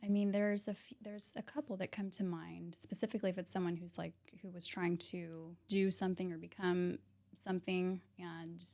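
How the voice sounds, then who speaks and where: A soft-spoken woman talks at a fairly quick pace, with a fairly low pitch and an American accent. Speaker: realtor and mindset coach. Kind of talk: podcast interview.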